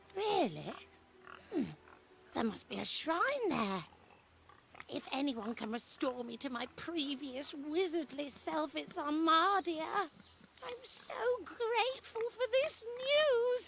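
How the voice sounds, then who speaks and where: High-pitched and put-on, the character voice moves at a fairly slow pace. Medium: video game.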